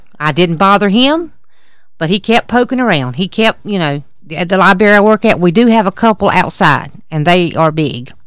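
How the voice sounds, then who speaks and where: Speaking in a Southern US accent, a woman uses lively intonation. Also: medium pitch for a woman, moderate pace. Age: 40s. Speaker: podcast co-host. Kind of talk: casual chat. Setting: outdoors at a campsite.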